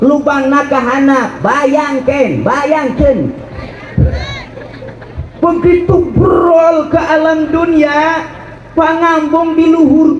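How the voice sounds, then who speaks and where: Over crowd noise in the background, a man with a West Javanese accent speaks very slowly in an extremely high, monotone, flat voice at very even loudness. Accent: Sundanese. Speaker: Islamic preacher. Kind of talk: religious sermon to live audience. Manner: humorous, joking.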